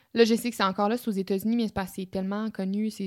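Speaking at a very fast pace with a Quebec accent, a woman keeps a medium pitch and fairly even intonation on a very clean recording with a silent background. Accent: Québécois French. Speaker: podcast co-host. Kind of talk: casual chat.

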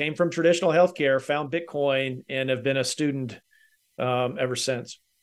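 A man talks with a Southern US accent at a fairly high pitch. His pace is moderate and his pitch variation ordinary. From Kentucky. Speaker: healthcare technology consultant. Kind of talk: casual chat.

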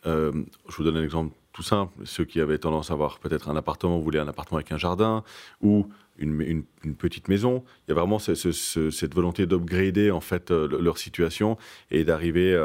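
A man talks at a fairly quick pace with a very deep, low pitch and fairly even intonation. The recording is very clean, with a silent background. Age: 30s. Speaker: luxury real estate broker. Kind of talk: interview. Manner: halting, many fillers.

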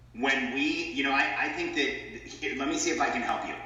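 Noticeable background noise and audible room echo around a man with an American accent, at a moderate pace. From Southern California. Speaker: entrepreneur and business coach. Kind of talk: interview.

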